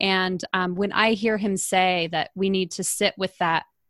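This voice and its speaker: An ordinary speaking voice from a woman at medium pitch, with ordinary pitch variation, dry and close with no echo, on a very clean recording with a silent background. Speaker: podcast host and mentor. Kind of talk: casual chat.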